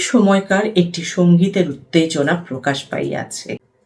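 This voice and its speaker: A somewhat breathy woman's voice. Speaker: theatre practitioner. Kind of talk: book reading.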